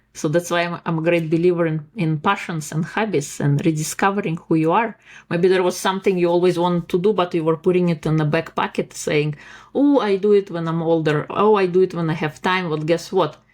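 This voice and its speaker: A woman with a non-native accent, fairly low pitch, fairly quick pace and fairly even intonation. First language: not English. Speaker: life coach and author. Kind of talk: podcast interview.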